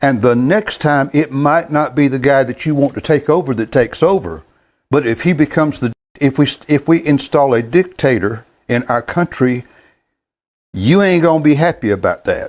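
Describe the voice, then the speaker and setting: A man with a Southern US accent speaks at a moderate pace, his pitch fairly high and its variation ordinary. The recording is very clean, with a silent background. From US South, North Carolina. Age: 70s. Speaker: gospel sing-along host. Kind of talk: casual monologue. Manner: halting.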